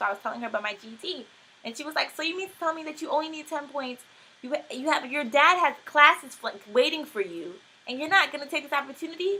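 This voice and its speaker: Speaking very fast in a raised, projected voice, the woman has a high pitch, lively intonation and big swings in loudness. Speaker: homeschooled student. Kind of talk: casual talk to camera.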